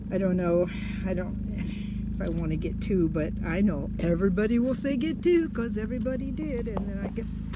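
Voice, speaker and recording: Fairly quick speech amid loud background noise, the sound dry with no echo. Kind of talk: casual vlog chat. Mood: chatty, amused. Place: open country. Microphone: phone near.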